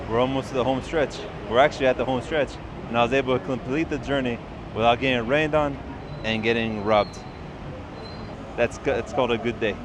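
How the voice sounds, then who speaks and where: Talking at a very fast pace with fairly even intonation, a man with an American accent speaks at a medium pitch over noticeable background noise. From United States. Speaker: travel vlogger. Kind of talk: casual vlog narration. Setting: outdoors and on public transit. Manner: soft-spoken; loud. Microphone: testing phone camera with and without clip mic.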